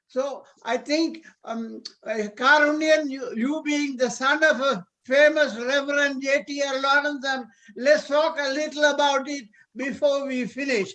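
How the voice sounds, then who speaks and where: A raised, projected, extremely high-pitched man's voice with a bright, sharp tone, fairly even intonation and a fairly slow pace. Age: 80s+. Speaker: retired doctor. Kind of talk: casual group video call.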